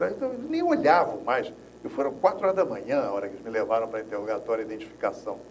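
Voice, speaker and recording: A man talks very fast, his loudness swinging widely. Audible room echo and noticeable background noise fill the recording. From Rio de Janeiro, Brazil. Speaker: former political prisoner, agroecologist. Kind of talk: interview, personal testimony.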